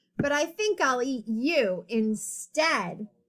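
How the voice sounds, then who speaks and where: A woman's put-on character voice at a very slow pace, high-pitched, with very wide pitch swings. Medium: read story.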